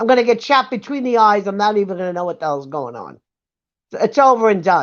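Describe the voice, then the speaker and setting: A woman with a New York accent speaks at a very fast pace in an animated tone, her medium pitch carrying lively intonation and big swings in loudness over a quiet background. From US Northeast, Brooklyn, New York. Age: 70s. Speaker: livestream panelist. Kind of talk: casual chat.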